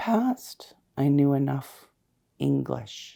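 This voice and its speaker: Here is a woman with a Canadian accent. Her pace is very slow. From Canada, Saskatoon and Ottawa. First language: Cree. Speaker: community advocate and counsellor. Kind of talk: personal testimony interview. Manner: halting, with frequent repetitions.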